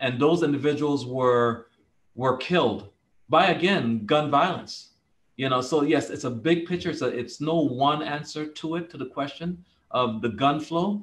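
A man speaks with a Virgin Islands accent. His pace is moderate. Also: ordinary pitch variation. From US Virgin Islands, St. Thomas; US Virgin Islands. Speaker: police commissioner; panelist. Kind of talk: panel discussion. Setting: video call. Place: office. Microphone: video call.

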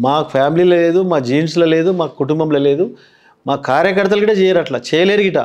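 In a Telangana accent, a man speaks with a high pitch and very even loudness over a quiet background. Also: ordinary pitch variation. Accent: Telangana Telugu. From Telangana, Patancheru area. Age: 50s. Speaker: politician; politician interviewee. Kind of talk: interview. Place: studio. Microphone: lapel.

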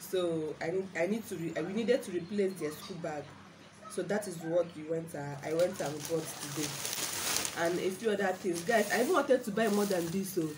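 Noticeable background noise sits behind a woman whose voice is fairly low in pitch. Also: ordinary pitch variation. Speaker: vlogger. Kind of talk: casual vlog chat. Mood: exasperated about prices. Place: home room. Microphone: phone near.

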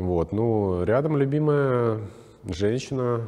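Very slowly, a man talks with a non-native accent. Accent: foreign-sounding accent in Russian. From Czech Republic. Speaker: stylist; guest. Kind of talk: interview. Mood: calm, warm, reflective. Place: studio. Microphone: lapel.

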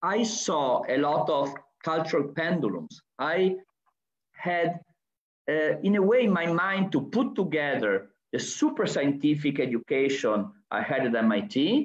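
Speaking at a fairly slow pace, a man with an Italian accent uses a fairly high pitch with very wide swings. His loudness stays very even, and room echo is audible. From Italy. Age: 60s. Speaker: architect and university professor; university professor. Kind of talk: lecture. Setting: video call. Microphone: video call.

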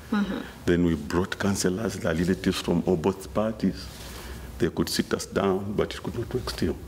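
Light background noise sits behind a man's very deep, low voice. His intonation is lively. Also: moderate pace. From Zambia. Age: 40s. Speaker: interview guest sharing life story; interview guest. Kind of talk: interview. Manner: halting. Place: studio.

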